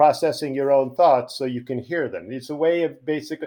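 A man with a Long Island accent, fairly quick pace and ordinary pitch variation. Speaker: podcast guest, poet and comic strip writer. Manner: quick, joking, conversational.

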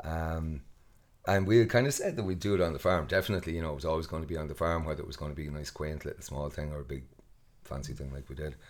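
With a west of Ireland accent, a man talks very fast in a very deep, low pitch with ordinary pitch variation. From Ireland, west coast (Mayo). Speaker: festival co-founder and farmer. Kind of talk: casual interview.

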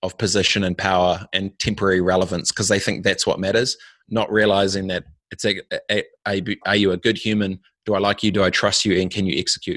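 This man talks at a fairly quick pace in a fairly low voice with monotone, flat intonation. The recording is very clean with a silent background and a dry, close sound without echo. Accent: New Zealand. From New Zealand. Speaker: entrepreneur and former pro snowboarder. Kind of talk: casual interview. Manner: halting, frequent repetitions and fillers.

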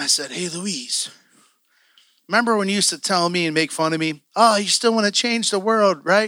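A man with a high pitch speaks in a raised, projected voice at a fairly quick pace. His tone is bright, sharp and animated, with ordinary pitch variation. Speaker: preacher. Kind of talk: sermon. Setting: church. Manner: animated, casual preacher's delivery, joking and fired up; conversational, emotional, peppered with slang and asides.

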